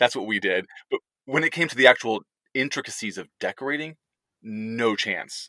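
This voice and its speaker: A man with an American accent speaks in a bright, sharp tone at a medium pitch, with ordinary pitch variation and long, frequent pauses. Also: moderate pace, dry, close sound with no echo. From US (California, Texas). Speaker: podcast guest, host's brother. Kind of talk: casual chat. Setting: remote call across an ocean.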